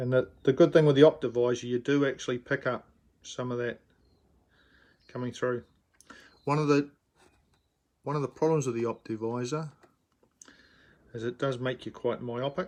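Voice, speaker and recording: Speaking with a New Zealand accent, a man talks at a moderate pace in a medium pitch with fairly even intonation and long, frequent pauses. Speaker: miniature figure painter. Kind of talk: live-streamed painting tutorial. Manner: hesitant with fillers.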